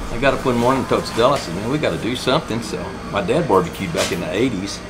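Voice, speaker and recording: Over noticeable background noise and audible room echo, a man at a medium pitch talks very fast with lively intonation. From Texas Hill Country. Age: 60s. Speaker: barbecue restaurant and hardware store owner. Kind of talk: casual chat.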